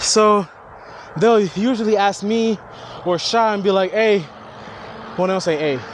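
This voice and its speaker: With an American accent, a man talks in an animated tone at a moderate pace, his high voice showing ordinary pitch variation over noticeable background noise. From Haitian family, South Florida. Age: 30s. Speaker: vlogger. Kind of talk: casual vlog monologue.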